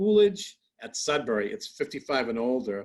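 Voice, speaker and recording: His pitch swings very widely. The man has an American accent. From Massachusetts (Lynn). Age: 60s. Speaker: comedian. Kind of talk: interview.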